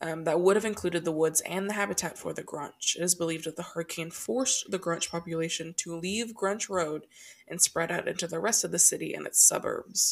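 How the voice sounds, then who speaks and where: Barely pausing, a woman speaks at a fairly quick pace. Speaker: podcast co-host. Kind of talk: casual chat, comedic storytelling. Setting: recording at home, thin walls. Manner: loud talker.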